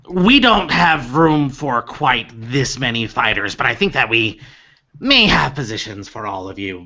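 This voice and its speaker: A man at a medium pitch performs a put-on character voice. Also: moderate pace. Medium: actual play. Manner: businesslike.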